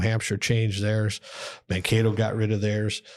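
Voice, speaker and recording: Someone with an Upper Midwest accent speaks at a moderate pace in a very clean recording with a silent background. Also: man. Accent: Upper Midwest (Minnesota). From Minnesota (Austin). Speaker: college hockey head coach. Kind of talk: casual interview.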